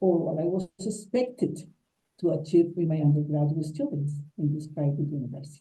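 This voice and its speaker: A woman with a Colombian accent speaks in a dark, mellow tone that is somewhat breathy. Audible room echo surrounds her voice. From Colombia, Huila. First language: Spanish. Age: 60s. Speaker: English teacher. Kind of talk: conference talk.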